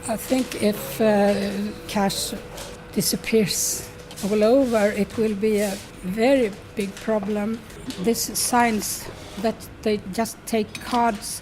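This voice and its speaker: A woman with a Swedish accent speaks at a fairly high pitch, her intonation flat and monotone. Long, frequent pauses break up her speech while music plays in the background. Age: 70s. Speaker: retiree interviewee. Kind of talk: documentary interview. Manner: halting.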